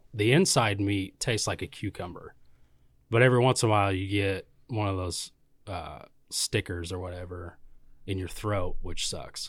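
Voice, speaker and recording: At a moderate pace, a man with a fairly low, somewhat breathy voice speaks with ordinary pitch variation and long, frequent pauses in a very clean recording with a silent background. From Kansas, Valley Center. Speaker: brewery canning line operator. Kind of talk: casual chat.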